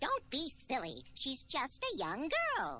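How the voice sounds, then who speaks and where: A put-on character voice unfolds fairly slowly. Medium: audio drama.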